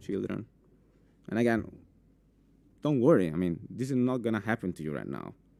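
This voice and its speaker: In an Italian accent, a man speaks with a dark, mellow tone at a fairly low pitch. His intonation is lively. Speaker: cybersecurity specialist. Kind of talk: conference talk. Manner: halting, many fillers.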